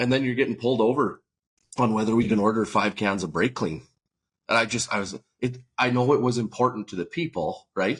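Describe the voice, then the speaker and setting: A man with an unremarkable speaking voice, medium pitch, ordinary pitch variation and a fairly quick pace. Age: 40s. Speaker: farmer and podcast co-host. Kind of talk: podcast conversation.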